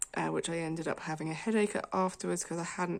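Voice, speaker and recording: Speaking with a British accent, a woman keeps her intonation fairly even. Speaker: colouring video creator. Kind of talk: casual chat.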